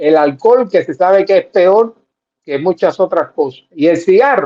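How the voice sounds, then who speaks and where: A man speaks at a fairly slow pace in a high pitch for a man. His tone is dark and mellow, and his intonation is lively. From Cuba. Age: 70s. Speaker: political commentator. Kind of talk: casual chat.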